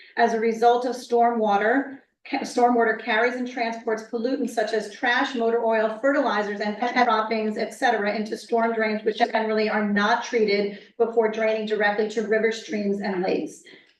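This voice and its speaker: Over noticeable background noise, a woman talks in a fairly high pitch with monotone, flat intonation and hardly any pauses. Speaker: member of the public on a town environmental commission. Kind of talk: reading a prepared statement at a public hearing. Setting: municipal meeting room. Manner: fast.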